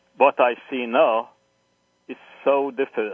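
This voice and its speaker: In a Hungarian accent, a man talks with monotone, flat intonation. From Hungary. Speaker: historian, professor. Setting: phone call.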